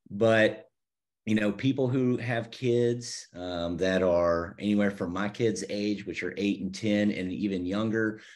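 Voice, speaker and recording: With an American accent and an ordinary speaking voice, a man talks at a moderate pace and a fairly low pitch, keeping his intonation fairly even. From US South, Savannah, Georgia. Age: 40s. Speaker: church website designer. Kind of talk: casual interview chat.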